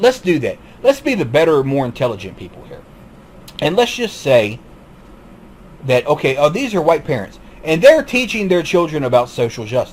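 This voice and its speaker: A man with a Southern US accent and a fairly high pitch talks at a moderate pace, using very wide pitch swings, big swings in loudness, and long, frequent pauses. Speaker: YouTube commentator. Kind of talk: monologue commentary. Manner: halting, repetitive.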